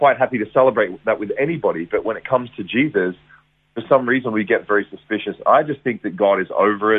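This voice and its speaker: A man speaks very fast in an Australian accent. His pitch is medium and varies in an ordinary way. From Australia, Geelong, Victoria. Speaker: evangelist. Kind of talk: testimony. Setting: radio interview.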